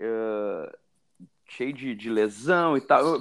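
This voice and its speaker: A man speaks with lively intonation. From Brazil, Rio Grande do Sul. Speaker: jiu-jitsu referee and teacher. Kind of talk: interview.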